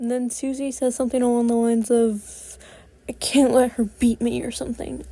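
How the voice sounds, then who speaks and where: Her pitch is high as this woman speaks at a moderate pace. Her intonation stays fairly even. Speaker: cartoon episode reviewer. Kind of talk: casual commentary review. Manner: halting, many fillers and stutters; rambling, repetitive.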